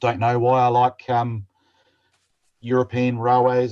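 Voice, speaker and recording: Somewhat breathy, a man with an Australian accent talks at a fairly quick pace against a quiet background. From South Australia, Adelaide. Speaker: model railroader. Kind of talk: presentation.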